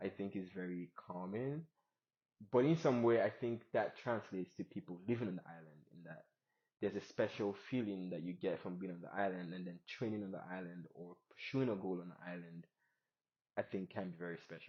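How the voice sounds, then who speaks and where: With a non-native accent, a man speaks at a fairly quick pace in a very deep, low pitch, with ordinary pitch variation and big swings in loudness. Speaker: podcast host. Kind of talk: casual interview chat. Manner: hesitant, many fillers.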